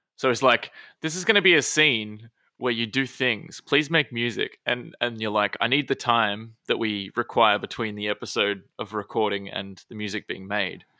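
A man with an Australian accent speaks at a moderate pace in a bright, sharp tone, with a dry, close sound with no echo on a very clean recording with a silent background. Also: medium pitch for a man, ordinary pitch variation. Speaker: podcast co-host, plays a character. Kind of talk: casual chat.

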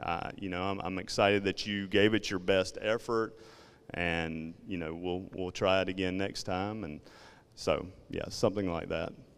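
In a very clean recording with a silent background, a man with a Southern accent speaks at a moderate pace in a very deep, low pitch and monotone, flat intonation. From South Georgia, US South. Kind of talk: talk to parents group.

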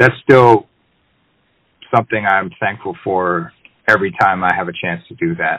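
A bright, sharp voice moves at a moderate pace, with very wide pitch swings and long, frequent pauses. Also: man, medium pitch for a man. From Boston area, Massachusetts. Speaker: jazz drummer and bandleader. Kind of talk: interview. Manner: halting, many fillers.

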